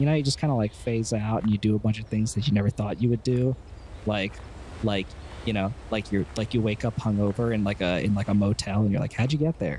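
Very fast and very even in loudness, a man's fairly low, somewhat breathy voice has a dark, mellow tone and ordinary pitch variation. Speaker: tabletop game player. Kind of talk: tabletop roleplaying game.

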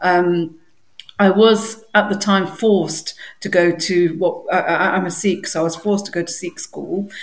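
Speaking in an East Midlands accent, a woman talks at a fairly slow pace. Her pitch is medium and her intonation monotone and flat. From English Midlands, Derby. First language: Punjabi. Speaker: library staff co-host. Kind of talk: casual chat.

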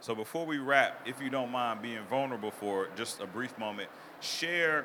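Speaking at a medium pitch with ordinary pitch variation, a man uses an ordinary speaking voice. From US South (Mississippi, Arkansas), Ghanaian parents. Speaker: podcast host. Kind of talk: casual interview. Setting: live expo hall with audience.

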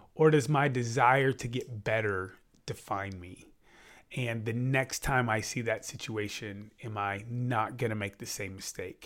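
In a very clean recording with a silent background, a man speaks at a fairly slow pace in an ordinary speaking voice, with medium pitch, fairly even intonation, and big swings in loudness. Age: 40s. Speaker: podcast co-host, sports official. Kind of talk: casual chat.

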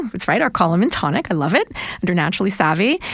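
A woman's speech races along very quickly, her pitch sitting in the middle range. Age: 50s. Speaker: nutritionist. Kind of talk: casual chat.

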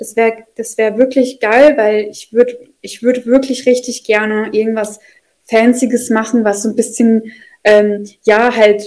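A woman speaks at a moderate pace. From Russian-speaking family, moved to Germany as a child. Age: 20s. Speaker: social sciences student, former nursery teacher. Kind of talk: casual chat. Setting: video call.

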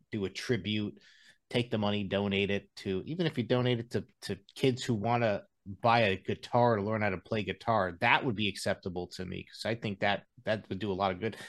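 In a plain, everyday voice, a man talks at a fairly quick pace on a very clean recording with a silent background. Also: fairly low pitch for a man, fairly even intonation. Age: 30s. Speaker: podcast guest, former metal guitarist. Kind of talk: casual chat.

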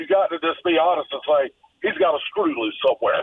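A man at a moderate pace, with high pitch and ordinary pitch variation. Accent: Southern US. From US South. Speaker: caller. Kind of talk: call-in rant. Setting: phone call. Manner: animated.

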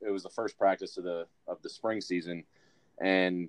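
In a dry, close sound with no echo, a man with an American accent speaks at a moderate pace with fairly even intonation and a plain, everyday voice. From Michigan, US Midwest. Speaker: rugby player. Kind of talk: casual chat.

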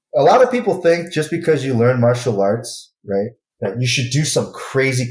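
Here is a man with an American accent. His intonation is lively and his voice is somewhat breathy. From Michigan, Grand Rapids. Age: 30s. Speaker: martial arts instructor. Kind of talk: casual chat.

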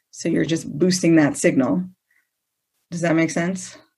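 Here is a normal speaking voice at a moderate pace. The intonation stays fairly even. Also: woman. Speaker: product representative. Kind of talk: casual chat. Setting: live stream.

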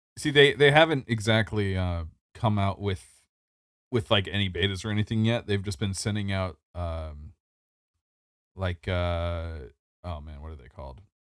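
In a very clean recording with a silent background, a man speaks at a moderate pace and a fairly low pitch. His intonation is lively, his loudness swings widely, and he takes long, frequent pauses. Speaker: podcast co-host. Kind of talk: casual chat.

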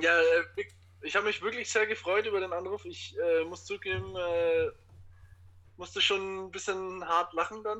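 Taking long, frequent pauses, a man speaks at a moderate pace. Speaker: teacher. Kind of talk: casual chat. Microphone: Bluetooth headphones via phone.

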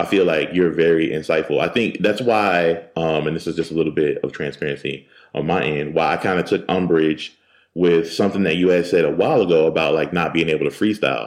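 A man with an American accent speaks at a fairly quick pace in a very deep, low voice, his intonation fairly even, on a very clean recording with a silent background. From Philadelphia, US. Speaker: podcaster, podcast network founder. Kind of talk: casual interview chat. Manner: relaxed, unbothered.

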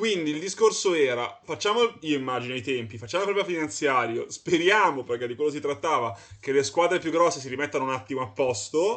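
A man with an ordinary speaking voice talks fairly quickly at a fairly high pitch. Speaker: podcast host. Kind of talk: casual chat.

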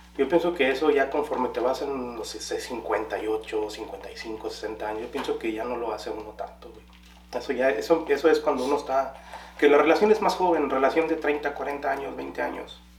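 The speech moves at a moderate pace with big swings in loudness. Audible room echo and noticeable background noise are present. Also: man. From Guanajuato, Mexico. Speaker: podcast co-host. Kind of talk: casual chat.

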